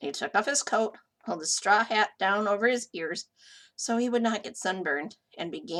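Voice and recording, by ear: Against a quiet background, a natural voice reads aloud.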